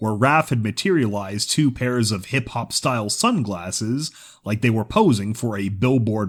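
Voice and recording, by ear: A passage is read aloud in a natural voice.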